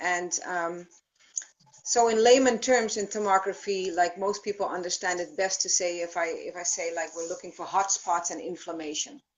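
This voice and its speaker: A woman at medium pitch and a moderate pace, with ordinary pitch variation and big swings in loudness. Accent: Dutch. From Netherlands. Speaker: thermography practitioner. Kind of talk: live stream Q&A.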